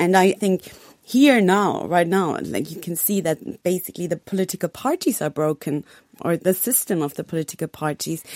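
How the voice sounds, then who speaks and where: A woman talks at a moderate pace with a German accent and a fairly low pitch. Her pitch varies in an ordinary way, and the sound is dry and close with no echo. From Germany. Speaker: foreign correspondent. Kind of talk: radio panel discussion.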